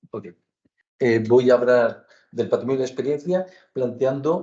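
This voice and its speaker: Medium in pitch, the man's voice has a dark, mellow tone. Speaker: architecture professor. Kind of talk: academic lecture. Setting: lecture hall with audience. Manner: slow, deliberate; hesitant, many fillers.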